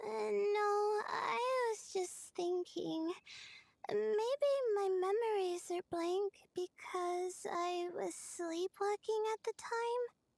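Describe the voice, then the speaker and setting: Using a put-on character voice, a woman speaks at an extremely high pitch and a very slow pace with ordinary pitch variation. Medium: video game. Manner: hesitant, many filler sounds.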